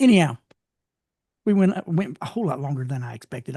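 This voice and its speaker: A somewhat breathy man with a dark, mellow tone speaks with lively intonation in a dry, close sound with no echo. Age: 60s. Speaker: bible study teacher. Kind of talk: online bible study class. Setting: video call. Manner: casual, repetitive with stammered restarts.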